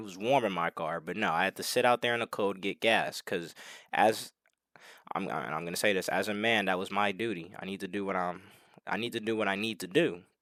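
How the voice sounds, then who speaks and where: Very fast speech from a man with a fairly low pitch, on a very clean recording with a silent background. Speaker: self-improvement vlogger. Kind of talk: casual monologue vlog. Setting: alone at home. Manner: unscripted, stumbling. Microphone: new headset mic.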